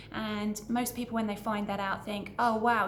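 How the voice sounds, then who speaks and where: With a British accent, a woman speaks at a moderate pace and medium pitch in a monotone, flat way, with audible room echo and noticeable background noise. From Britain. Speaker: business owner and vlogger. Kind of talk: casual introductory vlog. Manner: conversational, somewhat hesitant with repetitions.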